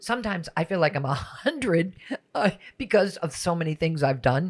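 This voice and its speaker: A woman speaks in a fairly low pitch with lively intonation. Her voice is somewhat breathy. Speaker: podcast host. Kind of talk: interview conversation.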